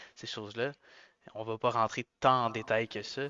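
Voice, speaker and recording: Speaking fairly quickly, a man at a medium pitch keeps a monotone, flat intonation. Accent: Quebec. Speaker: car podcast co-host. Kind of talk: casual chat.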